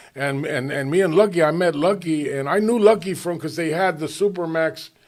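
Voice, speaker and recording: Speaking with an American accent, a man keeps a moderate pace and a fairly high pitch with ordinary pitch variation. The recording is very clean, and the background is silent. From Los Angeles, Hollywood area. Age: 60s. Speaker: former gang member turned recovery helper. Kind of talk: podcast interview, life story. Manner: halting, many repeated words.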